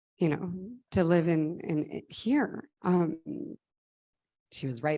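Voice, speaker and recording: Over a very clean recording with a silent background, a woman with a dark, mellow tone talks at a moderate pace with fairly even intonation. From Mexico, State of Mexico. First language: Spanish. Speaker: nonprofit founder. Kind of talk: conference talk.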